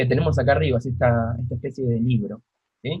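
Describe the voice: This man talks at a fairly quick pace. His voice has a slightly mellow tone and a slightly husky edge.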